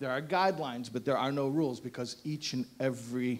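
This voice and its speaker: A man with an American accent, an ordinary speaking voice, medium pitch and fairly even intonation. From United States. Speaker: rabbi, guest speaker. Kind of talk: speech to audience with humor. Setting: event hall with live audience.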